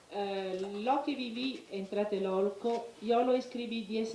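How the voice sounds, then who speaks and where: Over noticeable background noise, the speaker goes at a very slow pace with fairly even intonation. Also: woman. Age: 50s. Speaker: eyewitness. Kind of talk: testimony. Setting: congressional hearing. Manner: hesitant, many fillers.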